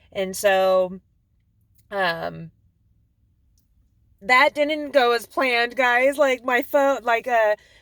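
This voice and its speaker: A woman's loud, high-pitched voice at a very slow pace with long, frequent pauses, with a dry, close sound with no echo on a very clean recording with a silent background. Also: ordinary pitch variation. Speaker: vlogger. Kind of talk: personal video diary. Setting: parked car in driveway. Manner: hesitant, many fillers.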